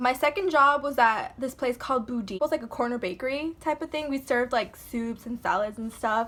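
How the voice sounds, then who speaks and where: Raising and projecting her voice, a woman speaks at a high pitch with ordinary pitch variation. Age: 20s. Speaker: vlogger. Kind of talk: casual rant vlog.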